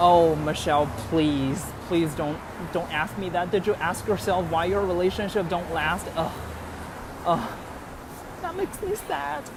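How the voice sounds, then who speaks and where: A man with a Chinese accent speaks at a fairly slow pace in a high pitch, his intonation fairly even and broken by long, frequent pauses. The room echo is audible, and there is noticeable background noise. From China (Beijing). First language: Mandarin Chinese. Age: 20s. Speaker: livestream host. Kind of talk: casual livestream walking tour. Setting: outdoors, walking the streets. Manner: hesitant, many fillers.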